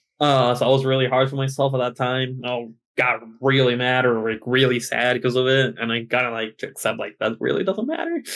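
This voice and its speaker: A man's medium-pitched voice in an American accent, fairly even in intonation, at a fairly quick pace. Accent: American-sounding English. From Chile. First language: Spanish. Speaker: esports player. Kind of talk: podcast interview. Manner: halting.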